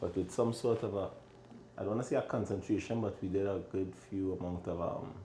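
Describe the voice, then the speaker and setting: In a strong Trinidadian accent, a man speaks at a fairly quick pace. His pitch is fairly low and his intonation fairly even. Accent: thick Trinidadian. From Trinidad and Tobago. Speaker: chef and restaurant owner. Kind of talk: casual interview chat.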